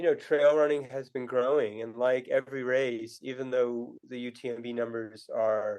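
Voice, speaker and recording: A man with a New England accent talks at a moderate pace, with hardly any pauses. His intonation is fairly even, but his loudness swings a lot. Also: medium pitch for a man. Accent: New England American. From US Northeast, New Hampshire. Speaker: author and running tour company founder. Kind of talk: podcast interview. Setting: remote call. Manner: halting, many fillers and restarts.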